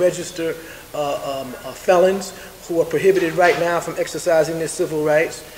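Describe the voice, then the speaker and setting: A man's high voice at a fairly quick pace, with fairly even intonation, noticeable background noise and audible room echo. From New York, South Bronx. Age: 70s. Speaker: community activist. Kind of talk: press conference statement. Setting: press conference. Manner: halting, many fillers.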